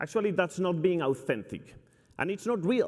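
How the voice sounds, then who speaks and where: A man speaks at a high pitch with a Spanish accent. The recording is very clean, with a silent background. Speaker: company CEO. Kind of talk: keynote speech. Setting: stage with audience. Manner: energetic.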